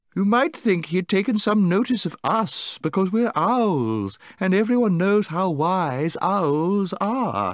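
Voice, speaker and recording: In a put-on character voice, the speaker goes at a fairly slow pace with hardly any pauses, on a very clean recording with a silent background. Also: man, high pitch for a man. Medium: read story. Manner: mocking.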